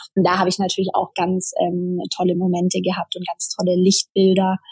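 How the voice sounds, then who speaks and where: This woman's voice is somewhat breathy. She speaks at a moderate pace. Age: 30s. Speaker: traveller sharing her sabbatical experience. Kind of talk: interview. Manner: hesitant with many fillers.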